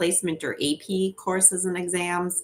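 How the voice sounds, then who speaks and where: A woman speaks with a Minnesotan accent. Her voice is fairly low. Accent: Minnesota. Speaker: education organization representative. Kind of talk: webinar presentation. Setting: home office, live stream. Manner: fast.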